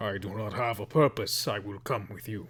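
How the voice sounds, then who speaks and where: Putting on a raspy character voice, a man speaks at a fairly low pitch and a moderate pace. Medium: actual play. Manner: slow, simple broken speech.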